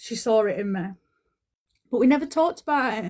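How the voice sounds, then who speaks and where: This is a woman speaking. Her voice sits fairly high. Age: 40s. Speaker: spiritual healer. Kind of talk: casual chat. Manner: halting.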